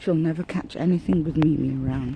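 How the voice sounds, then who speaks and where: A woman's dark, mellow tone, somewhat breathy. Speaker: vlogger. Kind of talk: casual vlog monologue. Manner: halting, searching for words.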